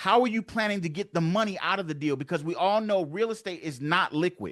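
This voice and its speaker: At a very fast pace, a man speaks in a high pitch with ordinary pitch variation. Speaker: real estate investor and coach. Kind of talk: webinar presentation.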